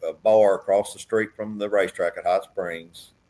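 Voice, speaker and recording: A man with an Arkansas accent speaks at a medium pitch with fairly even intonation. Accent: Southern US (Arkansas). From US South, southeast Arkansas. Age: 60s. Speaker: businessman and racehorse owner. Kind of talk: casual chat.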